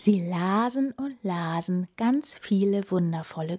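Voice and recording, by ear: The clip is someone reading aloud in a natural voice.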